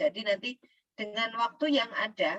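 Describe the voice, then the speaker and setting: A woman's bright, sharp voice with lively intonation, recorded dry and close with no echo. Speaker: teacher trainer. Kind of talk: lecture. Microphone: too quiet.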